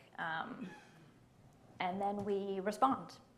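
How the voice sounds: A woman talks at a medium pitch with fairly even intonation. Audible room echo surrounds her voice.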